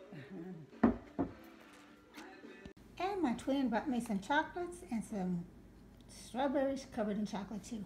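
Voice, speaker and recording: Over music in the background, a woman with a fairly high pitch speaks at a fairly slow pace, with very wide pitch swings and long, frequent pauses. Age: 70s. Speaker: lifestyle vlogger. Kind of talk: casual chit-chat vlog. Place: home room. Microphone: phone near.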